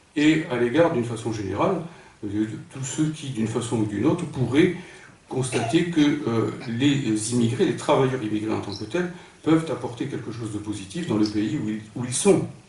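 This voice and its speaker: Lively intonation from a man at medium pitch and a moderate pace, with audible room echo. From northern France, Pas-de-Calais. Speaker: philosopher, political speaker. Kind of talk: lecture. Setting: conference hall with audience. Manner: hesitant, with frequent fillers.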